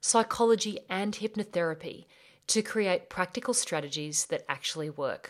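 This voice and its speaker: At a moderate pace, a woman with an Australian accent talks with ordinary pitch variation, in a very clean recording with a silent background. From Australia (rural bush). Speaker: life coach and podcast host. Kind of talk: solo podcast monologue.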